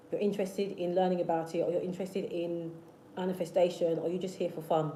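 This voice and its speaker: Very fast and monotone with flat intonation, a woman's fairly low voice comes through audible room echo and noticeable background noise. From South London, England. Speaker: manifestation youtuber. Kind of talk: livestream chat with viewers. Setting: live stream. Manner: repetitive, hesitant restarts.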